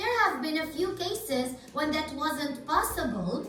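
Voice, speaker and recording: Over clear music in the background, a woman performs a put-on character voice, raised and projected. A slight echo is present. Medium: read story. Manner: earnest, by-the-book.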